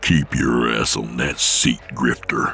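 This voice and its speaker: A man puts on a character voice pitched very deep and low. Clear background noise runs underneath. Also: fairly slow pace. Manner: growling, menacing.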